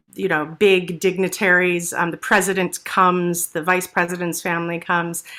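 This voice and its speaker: A woman with a New York accent, a medium pitch, a bright, sharp tone and a moderate pace. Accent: American (New York area). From New Jersey, US. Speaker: stage actress and singer. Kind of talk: interview. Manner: hesitant with fillers.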